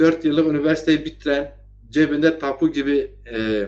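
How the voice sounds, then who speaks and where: A man speaks at a moderate pace. His pitch sits fairly high for a man. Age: 50s. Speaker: online talk show host. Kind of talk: political commentary livestream. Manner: animated.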